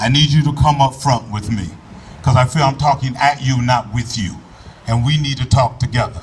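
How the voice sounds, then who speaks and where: Noticeable background noise runs under this recording. A man speaks at a moderate pace and medium pitch with ordinary pitch variation. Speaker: politician. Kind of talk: public speech. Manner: loud.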